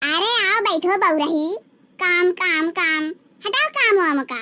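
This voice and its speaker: Using a cartoonish character voice at an extremely high pitch, a woman speaks at a fairly slow pace with lively intonation. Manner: warm, coaxing.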